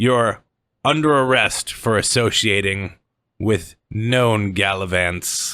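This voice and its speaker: On a very clean recording with a silent background, a man does a put-on character voice at a fairly low pitch and a very slow pace. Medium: actual play. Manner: smug, authoritative.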